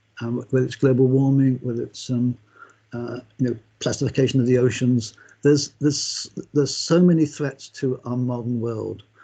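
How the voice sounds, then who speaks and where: Somewhat breathy and dark, mellow in tone, a man of medium pitch talks at a moderate pace with fairly even intonation. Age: 70s. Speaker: knowledge management speaker and author. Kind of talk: conference talk. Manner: halting, many repeated words and fillers.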